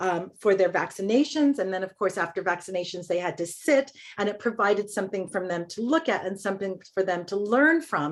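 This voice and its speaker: A woman with an American accent, medium pitch, lively intonation, and a fairly quick pace. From Los Angeles. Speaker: college administrator. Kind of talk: meeting presentation. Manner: fast.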